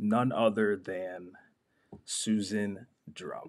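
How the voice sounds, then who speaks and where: In a resonant, put-on character voice, a man speaks at a fairly low pitch. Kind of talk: announcer.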